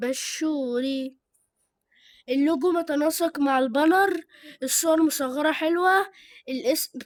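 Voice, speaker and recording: Very slow speech with an Egyptian accent, ordinary pitch variation, and long, frequent pauses. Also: woman, high pitch for a woman. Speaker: YouTuber reviewing channels. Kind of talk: casual chat. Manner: halting; loud.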